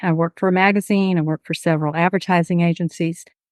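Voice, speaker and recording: A woman with a Houston accent speaks at a fairly low pitch in a monotone, flat intonation. The sound is dry and close with no echo, against a quiet background. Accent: Southeast Houston Texan. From Texas, southeast Houston. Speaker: nonprofit board chair. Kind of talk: interview.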